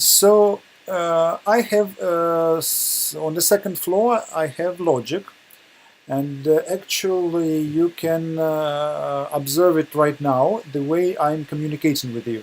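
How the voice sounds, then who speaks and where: A man speaks with a Russian accent at a very slow pace. His pitch is high for a man, with ordinary pitch variation. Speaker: webinar presenter. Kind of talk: lecture. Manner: halting, many hesitations.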